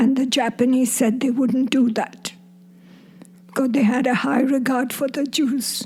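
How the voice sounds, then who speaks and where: A woman speaks at a fairly slow pace in a high voice with ordinary pitch variation. Noticeable background noise is present. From Burma. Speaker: grandmother, war refugee. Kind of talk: interview.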